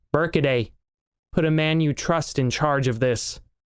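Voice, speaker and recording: Putting on a character voice, a man uses a fairly high pitch with ordinary variation, a moderate pace and very even loudness. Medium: read story. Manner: commanding, curt.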